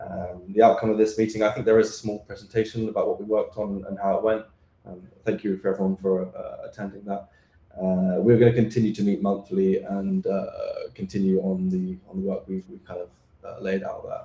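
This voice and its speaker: A man speaks with a British accent at a fairly quick pace. His loudness swings widely. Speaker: standards draft author presenter. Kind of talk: technical presentation. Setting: remote video call into meeting. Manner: hesitant, many fillers.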